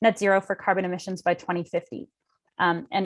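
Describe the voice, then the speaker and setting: A woman with a Canadian accent at a medium pitch. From Canada. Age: 20s. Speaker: young climate scientist and conference delegate. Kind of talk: talk and Q&A at an online youth event. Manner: halting, many repetitions.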